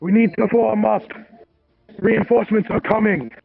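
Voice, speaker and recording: High-pitched for a man, this put-on character voice moves at a moderate pace. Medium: actual play. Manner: urgent, commanding.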